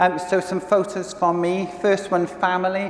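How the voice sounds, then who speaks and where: A man talks with a high pitch. Noticeable background noise runs behind him. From Wales. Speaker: communications director. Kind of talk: conference talk. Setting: stage with audience. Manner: halting.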